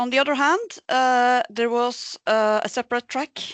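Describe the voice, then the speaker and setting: In a quiet setting, a woman with a high pitch and ordinary pitch variation talks at a moderate pace. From Norway, Bergen. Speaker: senior researcher. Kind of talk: presentation. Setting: remote talk. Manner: halting, many fillers.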